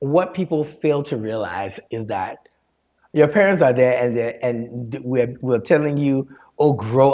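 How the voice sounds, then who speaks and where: The man's voice holds a medium pitch while he talks at a fairly slow pace. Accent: slight Liberian. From Liberia, raised in Maryland, US. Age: 40s. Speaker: storyteller and mental health counselor. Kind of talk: podcast interview.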